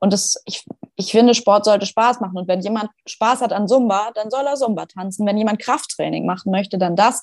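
The recording is dry and close with no echo. An unremarkable speaking voice moves at a fairly quick pace with fairly even intonation. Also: woman, medium pitch for a woman. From Schleswig-Holstein, northern Germany. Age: 20s. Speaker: fitness trainer and hypnosis coach. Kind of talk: casual interview chat.

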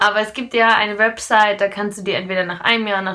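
Her tone bright and sharp, a woman talks at a fairly quick pace and medium pitch. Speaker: podcast co-host. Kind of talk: casual chat.

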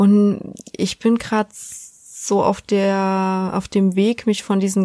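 A woman speaks in a flat monotone at a medium pitch with a dark, mellow tone, in a dry, close sound with no echo and a very clean recording over a silent background. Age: 20s. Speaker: podcast host. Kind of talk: casual chat.

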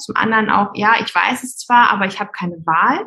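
A fairly high-pitched female voice, bright and sharp in tone, at a moderate pace with ordinary pitch variation. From Hamburg, northern Germany. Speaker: migraine therapist. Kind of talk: interview.

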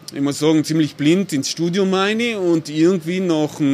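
A man talks at a fairly quick pace with ordinary pitch variation. Noticeable noise sits in the background. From South Tyrol, Italy (Bolzano). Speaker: architect and urban planner. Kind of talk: casual interview.

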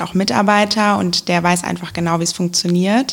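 At a moderate pace, a woman with a medium pitch and fairly even intonation talks in an unremarkable speaking voice. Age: young. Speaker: local election candidate. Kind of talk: casual interview.

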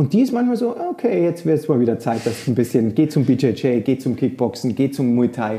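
The man's tone is dark and mellow, at a medium pitch. He moves at a moderate pace with ordinary pitch variation. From rural Germany. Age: 40s. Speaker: yoga teacher. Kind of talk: casual chat.

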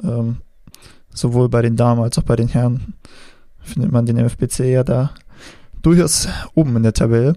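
Long, frequent pauses break up speech delivered at a moderate pace. The tone is dark and mellow, with ordinary pitch variation. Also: man, medium pitch for a man. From northern Germany, Schenefeld near Hamburg. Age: 20s. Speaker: podcast host. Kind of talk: interview. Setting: remote call. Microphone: poor sound quality in the interview.

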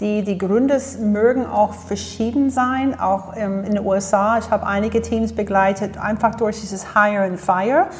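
With an English accent, the speaker talks with hardly any pauses and fairly even intonation over noticeable background noise. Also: woman, medium pitch for a woman, moderate pace. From US, Florida. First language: English (speaking German). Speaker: leadership coach and speaker. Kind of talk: interview. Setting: studio.

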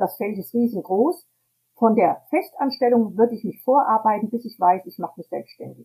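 Fairly high in pitch yet dark and mellow in tone, a woman talks at a moderate pace with lively intonation, a somewhat breathy quality and big swings in loudness. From Hesse, Germany. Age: 70s. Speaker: tour guide and self-employed entrepreneur. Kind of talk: interview. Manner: hesitant with many fillers.

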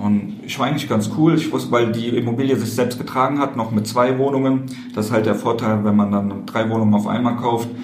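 A man's fairly quick speech with audible room echo and noticeable background noise. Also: medium pitch for a man, fairly even intonation. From Koblenz, western Germany. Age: 20s. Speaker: real estate investor. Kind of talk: interview. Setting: meeting room at a conference.

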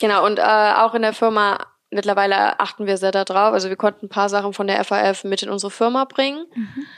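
Using a normal speaking voice, a woman talks at a fairly quick pace with medium pitch and fairly even intonation. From Remscheid, western Germany. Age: 20s. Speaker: painter and decorator. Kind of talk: interview.

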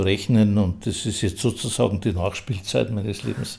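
A man's fairly low voice with a dark, mellow tone. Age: 80s+. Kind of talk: interview.

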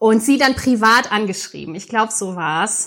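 At a fairly quick pace, a woman speaks with lively intonation, a bright, sharp tone and a fairly high pitch. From Mainz area, Germany. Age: 30s. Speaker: podcast co-host. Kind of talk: casual podcast introduction.

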